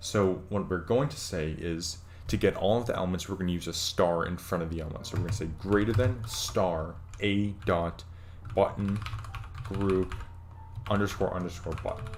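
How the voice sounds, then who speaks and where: A man speaks with a very deep, low pitch. Noticeable room echo surrounds his fairly even intonation. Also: moderate pace. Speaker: programming tutorial streamer. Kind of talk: tutorial. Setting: live stream. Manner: hesitant, many fillers.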